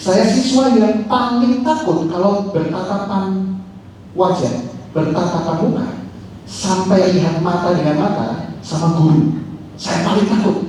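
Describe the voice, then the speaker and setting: Over noticeable background noise and audible room echo, a man with a high voice speaks at a fairly slow pace and very even loudness. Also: ordinary pitch variation. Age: 20s. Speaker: social media consultant and former radio announcer. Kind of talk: talk show conversation. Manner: animated.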